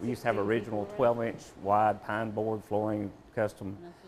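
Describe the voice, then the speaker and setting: A man with a fairly low pitch and an unremarkable speaking voice talks with fairly even intonation. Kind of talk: interview answer.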